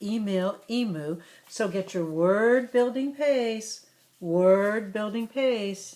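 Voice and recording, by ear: The passage is read aloud in a natural voice whose pitch shifts by a normal degree.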